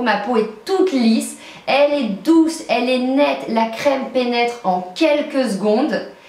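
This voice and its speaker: A woman speaks at a high pitch and a fairly slow pace. Noticeable background noise and audible room echo surround her. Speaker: beauty vlogger. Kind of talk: product review vlog. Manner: animated.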